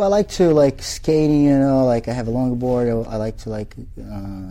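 A man speaks in a Portuguese accent with a dark, mellow tone. He goes at a fairly slow pace, and his pitch varies in an ordinary way. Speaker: jiu-jitsu instructor. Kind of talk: interview. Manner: halting, frequent repetitions and fillers.

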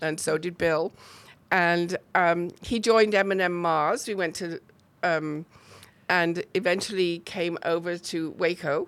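A woman with a British accent, fairly low in pitch, at a fairly slow pace and fairly even intonation, on a very clean recording with a silent background. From northern England, near Chester. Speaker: arts organizer. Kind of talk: casual interview.

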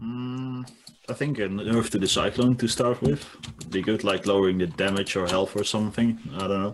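Pitched fairly low, the man speaks in an ordinary speaking voice at a moderate pace, with ordinary pitch variation. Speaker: guest, StarCraft player. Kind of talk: casual group discussion about a video game. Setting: video call.

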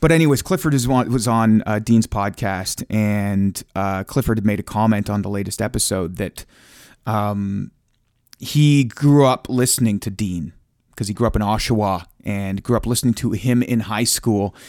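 On a very clean recording with a silent background, a man with a Canadian accent uses an ordinary speaking voice, fairly low in pitch, at a moderate pace with ordinary pitch variation. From Ontario, Canada. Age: 30s. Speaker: radio broadcaster and stand-up comedian. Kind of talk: casual chat. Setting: home studio.

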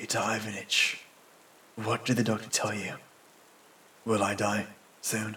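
A man's put-on character voice, bright and sharp in tone with a husky, rough edge, fairly low in pitch and with little pitch movement. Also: fairly slow pace.

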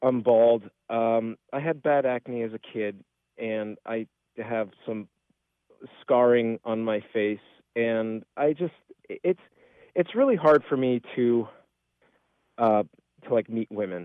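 A man's medium-pitched voice with ordinary pitch variation, a very slow pace and long, frequent pauses. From Spokane, Washington. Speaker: caller. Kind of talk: phone-in question. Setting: phone call. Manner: halting.

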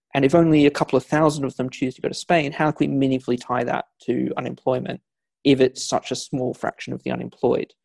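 The sound is dry and close, without any echo. A man speaks very fast. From not Scotland, grew up outside Scotland. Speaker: historian and author. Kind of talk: interview about history. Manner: wry, conversational, hesitant with fillers.

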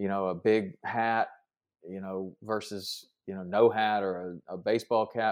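With a Southern US accent, the speaker talks at a fairly slow pace in fairly even intonation, loudness swinging widely, on a very clean recording with a silent background. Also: man, fairly low pitch for a man. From Tennessee. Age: 50s. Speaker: fishing TV host and fitness podcaster. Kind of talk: casual interview chat.

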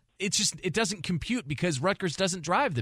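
A man talks at a fairly quick pace with vocal fry. The sound is dry and close, with no echo. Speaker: radio host. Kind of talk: casual sports talk.

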